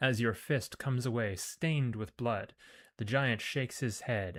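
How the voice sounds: This is a natural reading voice with ordinary pitch variation.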